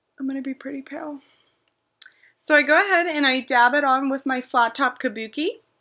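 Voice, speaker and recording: Speaking fairly quickly in a raised, projected voice, a woman with an American accent has a high pitch, a bright, sharp tone and fairly even intonation. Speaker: beauty vlogger. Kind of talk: makeup tutorial. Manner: casual, chatty. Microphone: laptop webcam.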